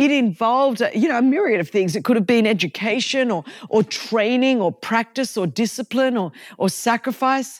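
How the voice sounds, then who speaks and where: Animated in tone and lively in intonation, the speech moves at a moderate pace in a very clean recording with a silent background. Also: woman. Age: 50s. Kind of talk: devotional teaching monologue.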